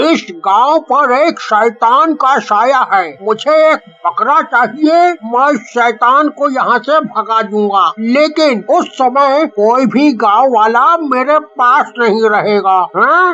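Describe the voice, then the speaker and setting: Using a cartoonish character voice, a man speaks at an extremely high pitch in a raised, projected voice, very slowly with hardly any pauses, very even loudness and lively intonation. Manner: hums before speaking.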